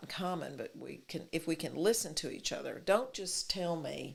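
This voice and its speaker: A woman speaks at a moderate pace. She has a Texas accent. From Texas, Fort Worth. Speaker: city mayor. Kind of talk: interview.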